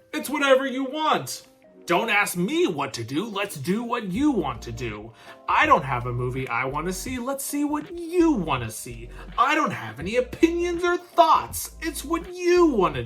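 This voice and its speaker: A put-on character voice, raised and projected, at a moderate pace over faint music in the background. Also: man, high pitch for a man. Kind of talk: casual.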